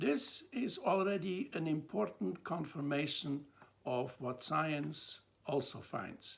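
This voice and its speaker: Very slowly and with vocal fry, a man speaks at a fairly high pitch in a Swiss accent. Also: lively intonation. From Switzerland. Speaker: theology lecturer. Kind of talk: lecture. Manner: measured, with some hesitations.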